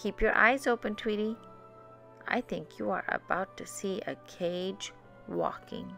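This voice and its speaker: Clear music plays in the background as a female-sounding put-on character voice speaks. The pitch sits in the middle, and the pace is fairly slow. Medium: read story. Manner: sly, teasing.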